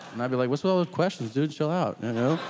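A man's fairly high-pitched voice with lively intonation, music in the background. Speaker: stand-up comedian. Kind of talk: stand-up comedy set. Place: stage. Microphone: handheld.

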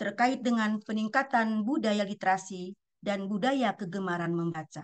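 Against a quiet background, a woman speaks at a fairly slow pace with very wide pitch swings. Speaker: national library official. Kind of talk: formal opening speech. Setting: video call. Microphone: webcam.

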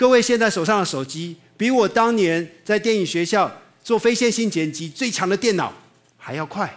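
A man with a Taiwanese accent speaks in a high voice, his pitch moving in an ordinary way against a quiet background. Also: moderate pace. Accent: Taiwanese Mandarin. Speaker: animation teacher and video producer; animation teacher. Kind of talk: public talk. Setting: stage with audience. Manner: animated. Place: hall.

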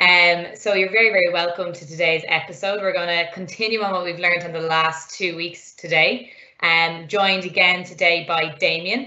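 Against a quiet background, a woman with a plain, everyday voice speaks at a fairly low pitch, a moderate pace, and fairly even intonation. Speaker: online programming teacher. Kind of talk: lecture. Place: home room. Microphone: webcam.

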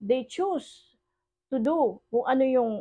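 Her tone is dark and mellow, and her intonation is lively. The woman is heard against a quiet background. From Philippines. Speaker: online preacher. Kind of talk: sermon. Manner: switches between Tagalog and English. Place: home room. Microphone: phone near.

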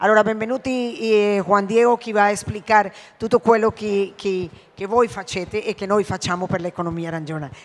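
Ordinary pitch variation and a moderate pace shape this woman's speech. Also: medium pitch for a woman. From Colombia. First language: Spanish (speaking Italian). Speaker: ambassador. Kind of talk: formal welcome speech. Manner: hesitant, many fillers. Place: hall. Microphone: handheld.

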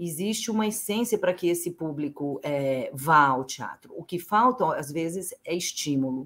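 A woman has an ordinary speaking voice with lively intonation. She talks at a fairly slow pace. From São José do Rio Preto, interior of São Paulo state, Brazil; São Paulo, Brazil. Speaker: playwright and actress; actress. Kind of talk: interview. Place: home room.

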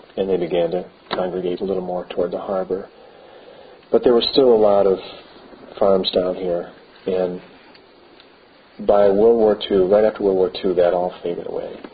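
Light background noise sits behind a man with a very deep, low pitch and monotone, flat intonation. He keeps a moderate pace with long, frequent pauses. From Beaver Island, Michigan, USA; Michigan. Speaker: local historian. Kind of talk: oral history interview. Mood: calm, reflective. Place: church.

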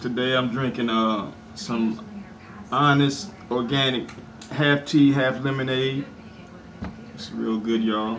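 The man keeps a fairly slow pace despite noticeable background noise. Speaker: mukbang vlogger. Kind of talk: casual vlog chat. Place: home room. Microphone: camera far.

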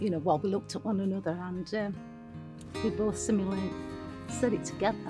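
Music plays clearly in the background. A woman speaks at a fairly quick pace. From Sheffield, England. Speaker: bereaved sister and former carer. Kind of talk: emotional personal tribute. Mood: emotional, heartfelt tribute. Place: garden. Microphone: lapel.

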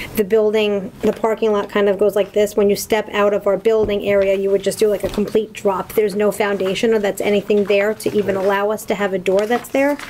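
A woman's fairly quick, monotone delivery, very even in loudness, with flat intonation and light background noise. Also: hardly any pauses. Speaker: permit consultant. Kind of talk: public hearing presentation. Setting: town hall meeting room. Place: meeting room. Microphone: podium.

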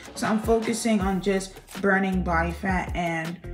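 A woman speaks at a fairly slow pace with ordinary pitch variation. Faint music plays in the background. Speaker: fitness vlogger. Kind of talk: casual vlog chat. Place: home room. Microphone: camera far.

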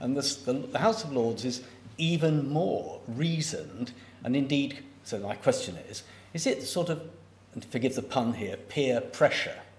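A man with lively intonation and audible room echo. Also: moderate pace. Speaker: event chair and professor. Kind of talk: formal event chairing and Q&A moderation. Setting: lecture theatre with audience, also online. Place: hall. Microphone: podium.

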